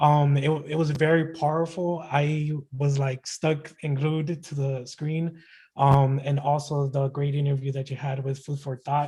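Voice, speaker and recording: A man with an American accent speaks in a fairly high, somewhat breathy voice. His intonation is monotone and flat. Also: fairly slow pace. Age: young. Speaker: poet and rapper. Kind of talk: poetry performance. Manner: halting.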